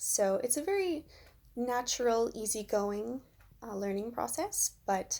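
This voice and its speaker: With a Canadian accent, a woman talks at a fairly slow pace. The recording is very clean, with a silent background. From Canada, Ontario (Kitchener). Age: 20s. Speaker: English teacher. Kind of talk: self-introduction video interview.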